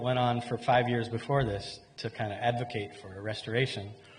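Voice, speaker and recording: Ordinary pitch variation marks speech delivered at a moderate pace, with audible room echo and noticeable background noise in the recording. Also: man. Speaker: conference speaker, mangrove restoration researcher. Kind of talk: conference presentation.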